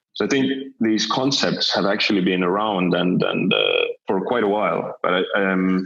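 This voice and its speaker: At a moderate pace, a man speaks with very even loudness over audible room echo. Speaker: company CEO. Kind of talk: interview. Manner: halting, many fillers and restarts.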